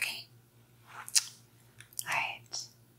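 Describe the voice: A woman whispers in a put-on character voice. She speaks at a very slow pace.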